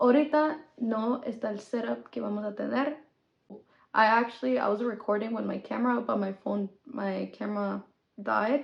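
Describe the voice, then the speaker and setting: At a moderate pace, a woman talks with a fairly high pitch, vocal fry and ordinary pitch variation. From Mexico, then US from age 10. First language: Spanish. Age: 20s. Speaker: podcast host. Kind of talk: casual podcast intro, Spanglish code-switching. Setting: recorded on phone.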